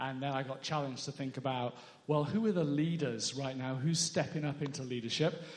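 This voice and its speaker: Ordinary pitch variation and a fairly quick pace shape this somewhat breathy voice. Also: man, fairly high pitch for a man. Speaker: author and former charity leader. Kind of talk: interview in church service. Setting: church with congregation.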